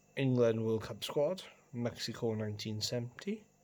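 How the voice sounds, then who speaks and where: The voice has a Welsh accent. Its tone is dark and mellow. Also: man. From Wales. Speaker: coin collector video host. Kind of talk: casual show-and-tell video. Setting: at home, on the carpet.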